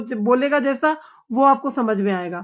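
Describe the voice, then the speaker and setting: Over a quiet background, a woman speaks at a high pitch with lively intonation. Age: 60s. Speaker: live streamer. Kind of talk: casual live chat with viewers. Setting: live stream.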